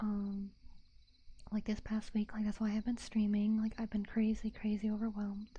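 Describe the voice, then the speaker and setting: Soft-spoken and somewhat breathy, a woman talks in a dark, mellow tone at a fairly high pitch. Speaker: vtuber. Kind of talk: casual livestream chat. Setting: binaural microphone.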